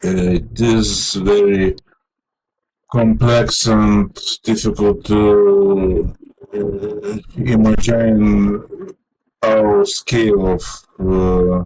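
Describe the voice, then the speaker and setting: With music in the background, a man speaks in a Lithuanian accent. His pace is very slow, with long, frequent pauses. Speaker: vlogger. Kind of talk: personal monologue. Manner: halting, many fillers.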